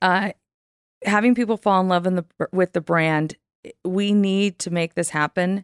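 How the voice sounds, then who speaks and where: In a normal speaking voice with fairly even intonation, the speaker talks at a moderate pace, with a dry, close sound with no echo and a very clean recording with a silent background. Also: woman. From California. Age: 50s. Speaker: marketing executive. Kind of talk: interview conversation. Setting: in person.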